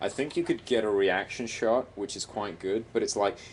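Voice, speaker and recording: The speaker is a man. His voice sits at a fairly low pitch. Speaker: animation mentor giving feedback. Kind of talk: recorded feedback. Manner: quiet at times; hesitant, many fillers.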